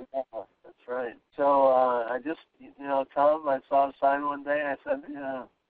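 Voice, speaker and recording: A man's fairly high, monotone, flat delivery at a fairly slow pace, with big swings in loudness. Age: 60s. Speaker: weight loss client, architect. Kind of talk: testimony. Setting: phone call. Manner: halting.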